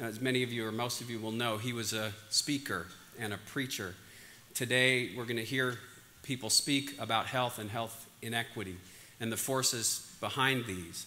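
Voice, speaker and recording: Over light background noise, a man with an American accent speaks in a bright, sharp tone with fairly even intonation. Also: moderate pace. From Pennsylvania. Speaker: conference organizer, physician. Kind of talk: conference opening remarks. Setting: stage with audience. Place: hall. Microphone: lapel.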